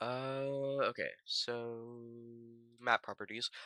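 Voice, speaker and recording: The tone is bright and sharp, the sound dry and close with no echo, on a very clean recording with a silent background. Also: man. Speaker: game dev streamer. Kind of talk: tutorial. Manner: loud; casual.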